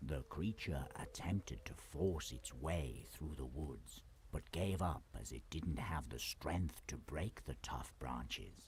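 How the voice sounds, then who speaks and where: Putting on a character voice, a man speaks very deep and low at a fairly slow pace with hardly any pauses, against clear background noise. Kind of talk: bedtime-story fairy-tale narration. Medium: solo performance. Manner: calm, measured, descriptive.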